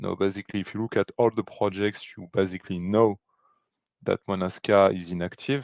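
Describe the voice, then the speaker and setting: Fairly low in pitch, a man talks at a moderate pace with monotone, flat intonation. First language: not English. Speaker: technical committee member. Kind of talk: meeting discussion. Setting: video call. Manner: halting.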